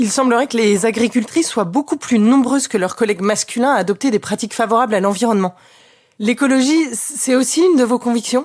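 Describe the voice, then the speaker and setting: A woman's fairly high, a normal speaking voice at a fairly quick pace, with ordinary pitch variation and very even loudness. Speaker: podcast host. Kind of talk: interview question.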